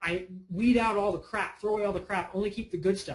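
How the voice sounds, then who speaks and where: Speaking at a fairly quick pace, a man lets his pitch vary in an ordinary way. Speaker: online marketing presenter. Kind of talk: sales pitch. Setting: webinar. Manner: fast.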